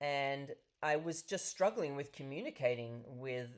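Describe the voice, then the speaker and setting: A woman with an Australian accent has a very deep, low pitch and lively intonation. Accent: Australian, still present after thirty years. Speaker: professor and nonprofit founder. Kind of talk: webinar presentation.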